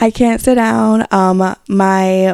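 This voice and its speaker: A woman speaks with a New York accent. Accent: New York City. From Bronx, New York. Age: 20s. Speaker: podcast host. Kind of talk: casual podcast talk. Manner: casual, chatty.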